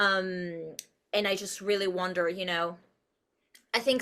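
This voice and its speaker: Her tone is bright, sharp and animated. She is a woman with a Spanish accent and a medium pitch. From Uruguay. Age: 30s. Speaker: actress and producer. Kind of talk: podcast interview. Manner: animated, expressive.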